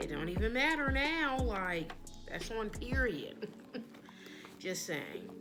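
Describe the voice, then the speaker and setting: A woman speaks with very wide pitch swings over background music, and the room echo is audible. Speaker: beauty vlogger. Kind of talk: casual tutorial-style show and tell.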